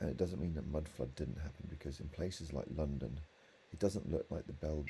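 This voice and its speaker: Quietly, a man speaks at a very deep, low pitch with a dark, mellow tone, vocal fry, and fairly even intonation. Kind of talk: casual talk to camera.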